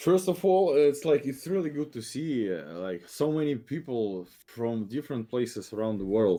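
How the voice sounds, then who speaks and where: Here is a man with a Russian accent and a dark, mellow tone. His pitch swings very widely at a moderate pace. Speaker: game developer. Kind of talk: podcast interview. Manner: halting.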